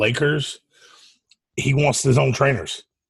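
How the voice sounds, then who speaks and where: In a Southern US accent, a man talks at a medium pitch. His voice is somewhat breathy, and his pace is moderate. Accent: Southern US (Georgia). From US South. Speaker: podcast co-host. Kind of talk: casual chat.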